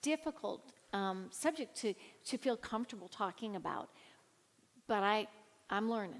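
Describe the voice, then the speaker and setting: A woman with an American accent, speaking at a fairly slow pace. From California. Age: 60s. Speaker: minister. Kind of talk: casual chat.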